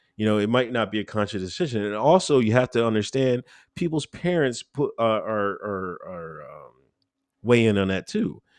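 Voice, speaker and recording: A man with an American accent speaks at a moderate pace and a medium pitch. His intonation is lively, and the background is quiet. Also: big swings in loudness. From Pennsylvania, Exton area. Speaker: political commentator. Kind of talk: interview. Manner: halting.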